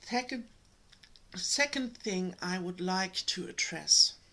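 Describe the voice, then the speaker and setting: The voice moves very slowly, with lively intonation and a bright, sharp tone. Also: woman. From Germany. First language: German. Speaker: energetic healer and spiritual channel host. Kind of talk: spiritual talk to camera. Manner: hesitant, many fillers.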